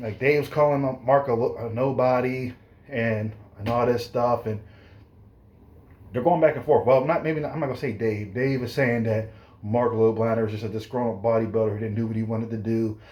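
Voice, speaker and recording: Audible room echo carries a man's somewhat breathy voice at a medium pitch. He talks at a fairly quick pace with fairly even intonation. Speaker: fitness youtuber and personal trainer. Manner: fast; rambling, self-correcting.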